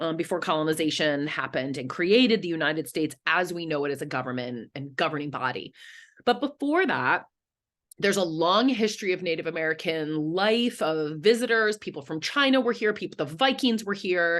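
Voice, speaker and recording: Against a quiet background, a woman with a fairly low pitch talks at a fairly quick pace, her pitch swinging very widely. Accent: Philadelphia. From Philadelphia, US. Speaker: history professor. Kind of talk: online lecture.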